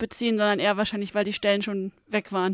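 A woman speaks at a very fast pace. The sound is dry and close, with no echo. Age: 20s. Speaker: trainee office clerk, visually impaired. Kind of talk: interview. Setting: studio.

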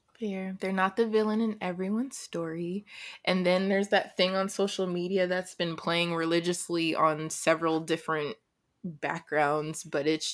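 A woman with a plain, everyday voice, medium pitch, fairly even intonation and a moderate pace, in a very clean recording with a silent background. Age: young. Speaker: podcast co-host. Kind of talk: casual chat.

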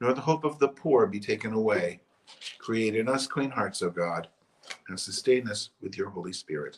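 An unremarkable speaking voice belongs to a man with medium pitch. He speaks at a moderate pace with lively intonation. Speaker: church service leader. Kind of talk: liturgical service, prayers and canticle read aloud. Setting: online church service. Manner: fervent, earnest, solemn.

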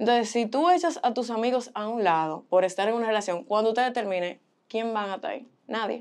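A woman with a plain, everyday voice, fairly high pitch and lively intonation, at a fairly quick pace over a quiet background. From Boston, US, Dominican parents. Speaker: model and communications student. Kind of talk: casual chat. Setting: studio.

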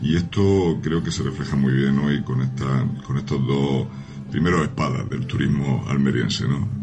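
A man with a very deep, low pitch speaks at a fairly slow pace amid noticeable background noise and audible room echo. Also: ordinary pitch variation. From Spain, Almería province. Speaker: regional tourism official. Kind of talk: radio interview.

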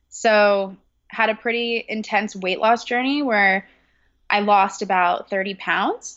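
With an American accent, a woman speaks at a very slow pace with fairly even intonation. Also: medium pitch for a woman. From California. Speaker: personal trainer and health coach. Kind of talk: casual interview.

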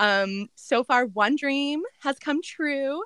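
A raised, projected voice with a bright, sharp tone and lively intonation. The sound is dry and close, with no echo. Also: woman. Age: 30s. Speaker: photographer and boutique owner. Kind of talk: casual chat.

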